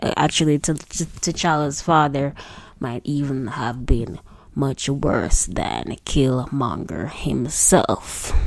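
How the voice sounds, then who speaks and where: In a Jamaican accent, the voice moves at a very slow pace with vocal fry and ordinary pitch variation. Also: woman, very deep, low pitch for a woman. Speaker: singer. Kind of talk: read commentary / film critique.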